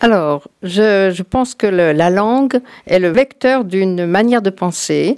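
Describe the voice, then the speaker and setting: Speaking at a very slow pace, a woman with a medium pitch uses lively intonation in a dry, close sound with no echo. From France. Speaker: former cantonal politician. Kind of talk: radio talk show discussion. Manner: halting.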